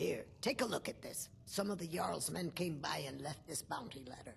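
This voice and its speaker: A put-on character voice comes across raspy at a middle pitch. It moves at a moderate pace. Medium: video game. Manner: blunt, matter-of-fact.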